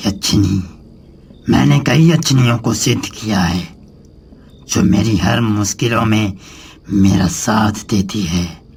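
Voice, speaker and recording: A man in a cartoonish character voice speaks at a fairly low pitch and a fairly slow pace, leaving long, frequent pauses. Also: ordinary pitch variation. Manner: commanding, ominous.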